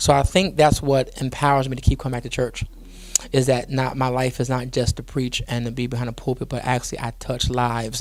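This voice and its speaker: This man speaks very fast in a Geechee accent. His medium pitch stays monotone and flat. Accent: Geechee speech. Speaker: pastor. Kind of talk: interview. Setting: studio.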